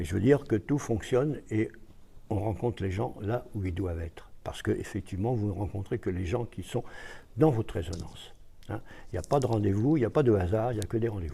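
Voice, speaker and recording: Over a silent background in a very clean recording, a man speaks at a fairly quick pace with a fairly low pitch and ordinary pitch variation. His tone is dark and mellow, and somewhat breathy. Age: 80s+. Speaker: author and lecturer. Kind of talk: interview. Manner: hesitant.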